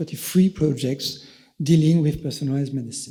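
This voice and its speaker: A man's fairly high voice sounds somewhat breathy, with a dark, mellow tone. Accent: French. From France. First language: French. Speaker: EU official. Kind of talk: conference presentation. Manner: halting, many fillers.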